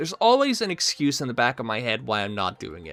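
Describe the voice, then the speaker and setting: A man with a non-native accent, in a dry, close recording with no echo. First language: not English. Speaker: gaming video creator. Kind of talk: casual unscripted vlog. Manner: halting, many repetitions and fillers.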